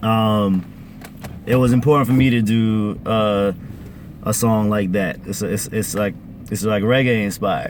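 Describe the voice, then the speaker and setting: A man of fairly low pitch with fairly even intonation and long, frequent pauses, over noticeable background noise. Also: fairly slow pace. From Caribbean family, parents from Grenada. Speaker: musician. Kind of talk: casual interview chat. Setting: in a car.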